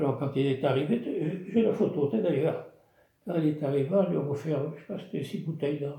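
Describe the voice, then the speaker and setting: Somewhat breathy and fairly high-pitched, a man talks at a fairly quick pace with ordinary pitch variation. Audible room echo surrounds the voice. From southwest France (Gironde village). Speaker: retired craftsman, village storyteller. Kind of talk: casual storytelling interview. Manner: halting, repetitive.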